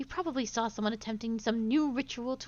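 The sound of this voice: The speaker reads in an unforced reading voice with ordinary pitch variation.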